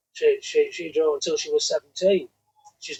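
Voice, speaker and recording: A man with a northern English accent speaks at a fairly quick pace, the sound dry and close with no echo. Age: 60s. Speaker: drag racer. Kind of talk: casual chat.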